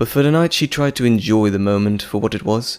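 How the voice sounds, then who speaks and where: Ordinary pitch variation marks this man's unremarkable speaking voice, which is fairly low and moves at a fairly quick pace. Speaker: voice actor. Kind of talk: audio drama narration.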